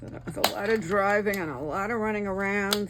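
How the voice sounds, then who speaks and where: In a room with audible echo, a woman with a medium-pitched voice talks at a fairly quick pace in a relaxed tone. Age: 70s. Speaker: crafting YouTuber. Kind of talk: casual craft tutorial chat. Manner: chatty, relaxed.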